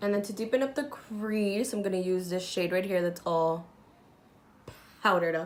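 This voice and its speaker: Ordinary pitch variation accompanies a moderate pace. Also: woman. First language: not English. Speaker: beauty youtuber. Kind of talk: makeup tutorial chat.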